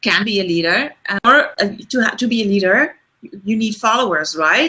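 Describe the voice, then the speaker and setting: A woman in a Dutch accent at a moderate pace, with a fairly high pitch and lively intonation. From Netherlands. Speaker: leadership coach. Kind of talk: webinar discussion. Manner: halting.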